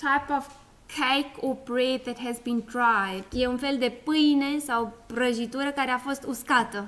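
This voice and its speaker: With a high pitch and fairly even intonation, a woman talks at a fairly slow pace. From South Africa. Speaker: school principal, guest speaker. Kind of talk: presentation to schoolchildren with self-interpretation. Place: hall.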